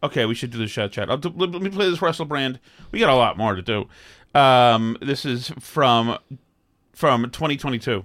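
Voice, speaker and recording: Moderately paced, a man speaks at medium pitch. His intonation is lively. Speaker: podcast co-host. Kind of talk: casual chat. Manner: halting.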